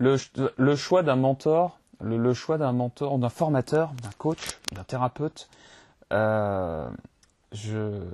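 A man's dark, mellow voice at medium pitch, very slow, with long, frequent pauses and a dry, close sound with no echo. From France, Limoges. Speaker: podcast host. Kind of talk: interview. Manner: hesitant, stammering.

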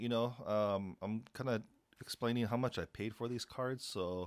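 Fairly slow speech from a man, quiet surroundings behind him. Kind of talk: casual vlog chat. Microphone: phone near.

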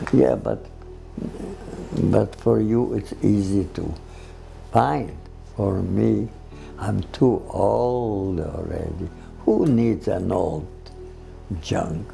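With faint music in the background, a man talks at a very slow pace, leaving long, frequent pauses. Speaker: interviewee. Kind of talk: interview answer. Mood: tender, reflective. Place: home room.

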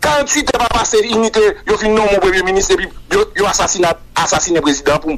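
Talking at a very fast pace in a high pitch, a man uses lively intonation while noticeable background noise sounds behind him. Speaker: political commentator. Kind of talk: interview.

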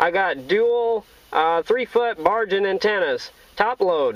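A man talks at a slow pace with a high pitch. His intonation is lively.

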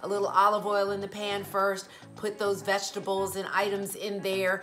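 A woman is speaking. Faint music can be heard behind her. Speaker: vegan lifestyle vlogger. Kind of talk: casual vlog chat. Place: home room.

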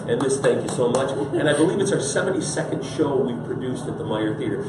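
A man speaks at a very fast pace. Loud background noise and audible room echo surround him. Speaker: guest. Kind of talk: interview answer. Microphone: camera far.

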